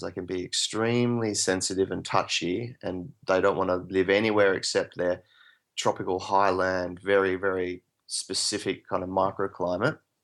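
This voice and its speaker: A man with an Australian accent speaks at a fairly low pitch with fairly even intonation. The recording is very clean, with a silent background. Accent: Australian drawl. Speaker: permaculturist and plant expert. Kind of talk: interview. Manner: hesitant, many fillers.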